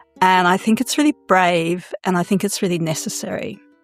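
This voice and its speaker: Music plays in the background. Over it, a woman talks at medium pitch. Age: 60s. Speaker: sexological bodyworker and consent teacher. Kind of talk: podcast interview.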